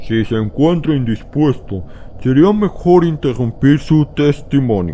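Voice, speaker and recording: Someone in a put-on character voice speaks fairly slowly with lively intonation, clear background noise behind them. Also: man, fairly high pitch for a man. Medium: read story. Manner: authoritative, questioning.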